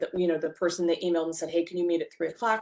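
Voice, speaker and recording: With a normal speaking voice, a woman talks at a fairly low pitch and with fairly even intonation. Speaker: bookkeeper and software trainer; software trainer. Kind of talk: webinar presentation. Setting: online webinar. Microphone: video call.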